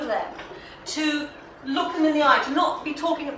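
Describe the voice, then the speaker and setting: The voice comes in a southern English accent with audible room echo. Noticeable background noise runs underneath. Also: woman. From England. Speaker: magazine editor and speaker. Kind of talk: lecture. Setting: hall with audience. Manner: animated.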